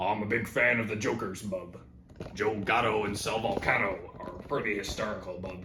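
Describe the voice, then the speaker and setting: A man puts on a gruff, cartoonish character voice, pitched fairly low. Background noise is clearly audible. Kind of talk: cartoon voice impression. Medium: comedy sketch. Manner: gruff, profane, ends sentences with bub.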